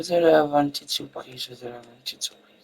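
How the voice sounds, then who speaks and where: Dry and close with no echo, a man's dark, mellow voice races along at a very fast pace. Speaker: gaming youtuber. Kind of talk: let's play commentary.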